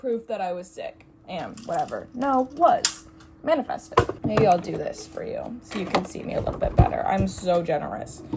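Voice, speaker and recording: Over noticeable background noise, a woman talks at a moderate pace, her loudness swinging widely. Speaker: vlogger. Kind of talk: casual chat. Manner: rambling, halting.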